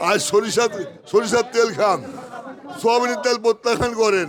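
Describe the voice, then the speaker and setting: The man's pitch is extremely high and his intonation fairly even. Background noise is noticeable. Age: 60s. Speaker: wholesale trader. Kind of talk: interview. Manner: impassioned.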